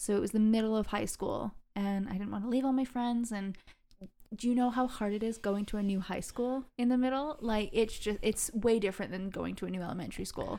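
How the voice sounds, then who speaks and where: A woman with an American accent speaks at a fairly quick pace and a fairly high pitch. Her tone is dark and mellow, her intonation fairly even. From England. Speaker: guest. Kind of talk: casual chat.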